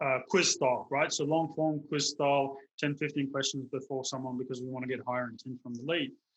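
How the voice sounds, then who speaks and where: A man with a South African accent, at fairly high pitch and moderate pace, with fairly even intonation. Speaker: digital marketer running local lead generation. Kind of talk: interview on video call.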